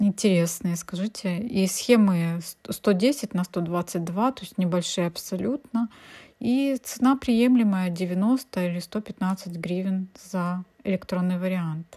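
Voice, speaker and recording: In a very clean recording with a silent background, a somewhat breathy, dark, mellow voice speaks at a very slow pace with ordinary pitch variation and big swings in loudness. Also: woman, medium pitch for a woman. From Ukraine. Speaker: cross-stitch embroidery blogger. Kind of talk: casual video review. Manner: chatty, thinking aloud.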